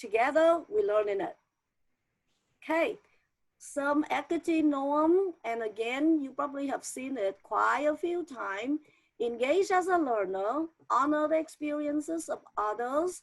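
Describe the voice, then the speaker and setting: Against a quiet background, a woman with a non-native accent speaks fairly slowly in a high pitch with lively intonation. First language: not English. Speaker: teacher trainer. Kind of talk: online training presentation.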